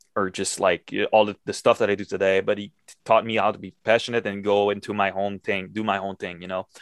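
A man talks at a fairly quick pace with a Quebec accent. His pitch is fairly low, and the background is quiet. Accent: Quebecois French-accented English. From Quebec, Montreal. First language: French. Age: 20s. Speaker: metal guitarist. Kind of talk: casual interview. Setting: video call.

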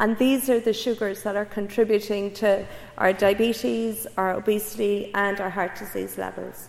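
At a moderate pace, a woman speaks at a medium pitch with monotone, flat intonation. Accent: Cork. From Ireland, Cork area. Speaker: public health researcher. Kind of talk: public lecture.

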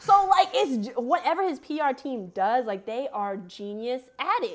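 In an American accent, a woman with a high pitch speaks at a fairly slow pace, hardly pausing, with very wide pitch swings. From New Jersey (Montclair). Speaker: podcast co-host, student. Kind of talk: casual chat.

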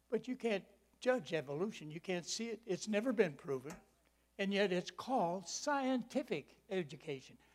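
This man speaks at a high pitch with lively intonation, a moderate pace, and an American accent. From Michigan, US Midwest. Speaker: preacher. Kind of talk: sermon. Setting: church with audience.

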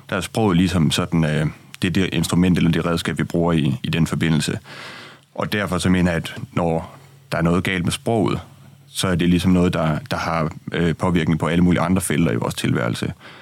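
A man with a very deep, low pitch talks at a fairly quick pace with vocal fry. His pitch variation is ordinary. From Denmark, Aarhus. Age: 20s. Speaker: opinion writer. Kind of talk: radio discussion. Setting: studio.

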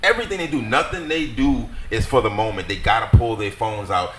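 A man with a fairly high pitch talks at a moderate pace with very wide pitch swings. Audible room echo and noticeable background noise fill the recording. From New Orleans, Louisiana. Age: 30s. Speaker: battle rapper. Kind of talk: casual chat.

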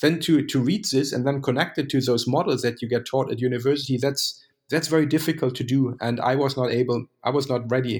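A man with a German accent speaks at a fairly quick pace in a somewhat breathy voice, his intonation fairly even, on a very clean recording with a silent background. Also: medium pitch for a man, hardly any pauses. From Germany. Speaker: economist. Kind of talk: interview. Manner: halting.

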